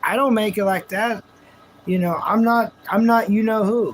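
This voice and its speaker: With noticeable background noise, a man with a high pitch speaks at a fairly slow pace using fairly even intonation. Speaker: live streamer. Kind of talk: casual live stream talk. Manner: intense, passionate, may sound angry.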